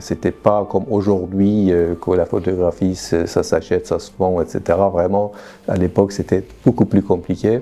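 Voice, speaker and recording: A fairly low-pitched man at a moderate pace, fairly even intonation, noticeable background noise. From Iran. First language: Persian (speaking French). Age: 60s. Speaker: photographer. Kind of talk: interview monologue. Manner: halting, many hesitations.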